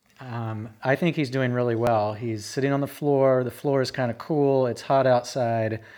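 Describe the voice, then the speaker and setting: This man has a plain, everyday voice, a medium pitch, fairly even intonation, and a fairly slow pace. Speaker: podcast host. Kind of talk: casual monologue. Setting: home living room, recorded on phone.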